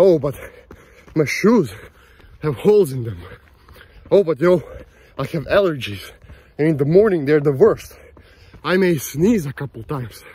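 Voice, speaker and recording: A man talks at a moderate pace with lively intonation, leaving long, frequent pauses, and the sound is dry with no echo. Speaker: vlogger. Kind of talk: casual vlog chat. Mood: motivational, self-reflective. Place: open country. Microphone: phone near.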